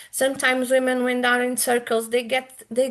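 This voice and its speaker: Against a quiet background, a woman speaks with a Portuguese accent. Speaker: womb keeper, women's healer. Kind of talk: interview. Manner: halting.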